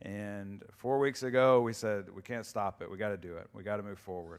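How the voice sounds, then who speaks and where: A man's plain, everyday voice, fairly low in pitch, with ordinary pitch variation and a moderate pace, on a very clean recording with a silent background. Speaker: church staff member giving announcements. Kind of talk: announcements. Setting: church.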